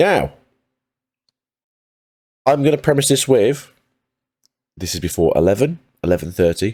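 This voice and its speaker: Medium in pitch but with very wide pitch swings, a man speaks at a moderate pace in a dark, mellow tone with vocal fry. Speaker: trading card game content creator. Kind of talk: casual talk to camera.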